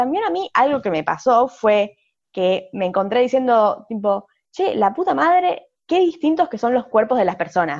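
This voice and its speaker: A woman's high voice with very wide pitch swings, a fairly slow pace and a quiet background. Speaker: podcast co-host, sociologist. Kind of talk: casual chat.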